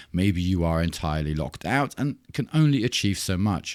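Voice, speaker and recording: With a German accent, a man talks at a moderate pace on a very clean recording with a silent background. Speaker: software tutorial youtuber. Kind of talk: screen-recorded tutorial.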